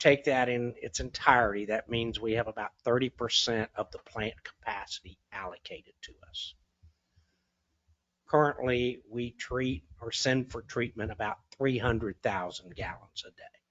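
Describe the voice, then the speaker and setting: A soft-spoken man talks at a moderate pace in a medium pitch with fairly even intonation. His loudness swings a great deal. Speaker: city official presenting to council. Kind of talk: council meeting presentation. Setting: city council meeting. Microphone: speaking too far from mic, hard to hear.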